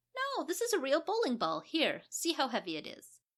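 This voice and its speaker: Her pitch sits extremely high in a squeaky, put-on character voice. The speaker is a woman going at a moderate pace. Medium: read story. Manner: breezy, nonchalant.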